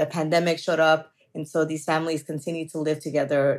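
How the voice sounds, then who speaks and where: In a normal speaking voice with an American accent, someone talks at a fairly quick pace on a very clean recording with a silent background. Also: woman. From Southeast Los Angeles. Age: 40s. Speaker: state legislator. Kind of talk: interview.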